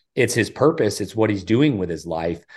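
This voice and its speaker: Heard in a very clean recording with a silent background, a plain, everyday voice with an American accent moves at a fairly quick pace. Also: man. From US South, South Carolina. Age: 40s. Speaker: professional golfer. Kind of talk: interview.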